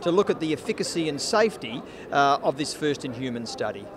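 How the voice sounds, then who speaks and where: With an Australian accent, a man talks at a fairly high pitch. He goes at a fairly quick pace over noticeable background noise. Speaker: cardiologist. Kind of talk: interview.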